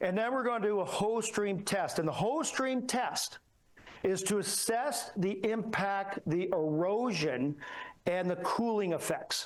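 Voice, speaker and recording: Lively intonation marks this man's high-pitched voice, which keeps a very even loudness. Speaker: structural engineer. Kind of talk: conference talk. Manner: fast.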